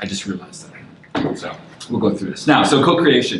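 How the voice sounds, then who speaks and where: With a Canadian accent, a man talks over noticeable background noise, and audible room echo surrounds his voice. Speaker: design lead speaking at a meetup. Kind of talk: lecture. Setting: room with live audience. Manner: fast.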